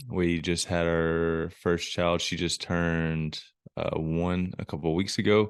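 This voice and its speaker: A man's very deep, low voice in a Southern US accent, very slow and monotone in a flat intonation. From US South, Alabama. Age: 20s. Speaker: ministry worker, motocross rider. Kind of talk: podcast interview. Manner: casual.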